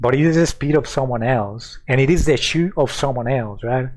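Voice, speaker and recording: Here a man speaks with a Mexican accent at a moderate pace. His pitch is medium and his intonation fairly even. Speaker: streamer. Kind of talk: casual chat. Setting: live stream.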